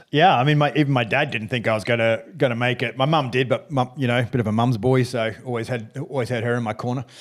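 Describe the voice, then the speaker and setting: With an Australian accent, a man speaks very fast at a medium pitch, with fairly even intonation and hardly any pauses. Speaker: former fighter pilot, business founder. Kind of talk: interview. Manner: halting, many restarts.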